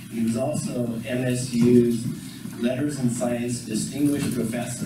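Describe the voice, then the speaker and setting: The speech moves at a moderate pace with ordinary pitch variation, heard through audible room echo and loud background noise. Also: man. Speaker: program director; event host introducing speaker. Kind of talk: event introduction. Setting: stage with audience. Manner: louder after request. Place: hall. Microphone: camera far.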